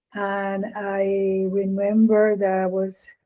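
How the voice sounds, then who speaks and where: With a Spanish accent, a woman talks in a dark, mellow tone at medium pitch. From Puerto Rico. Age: 60s. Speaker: experimental vocalist. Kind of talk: interview answers. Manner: halting.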